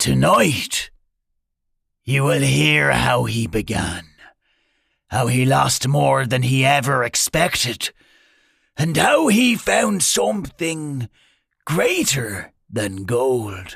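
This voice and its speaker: Speaking at a very slow pace with long, frequent pauses, a man has a raspy voice. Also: medium pitch for a man. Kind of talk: bedtime-style fantasy narration. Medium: read story.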